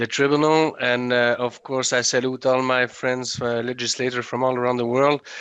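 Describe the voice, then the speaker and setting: Against a quiet background, a man with a Quebec accent speaks at a moderate pace and medium pitch, his intonation monotone and flat. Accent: Québécois French accent in English. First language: French. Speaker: legislator. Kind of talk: panel speech. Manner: halting.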